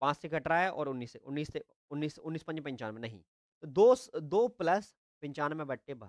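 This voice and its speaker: A man speaks at a moderate pace with lively intonation and big swings in loudness. The background is quiet. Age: 20s. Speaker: online tutor. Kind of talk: live online class. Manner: animated. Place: home room. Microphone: earbuds.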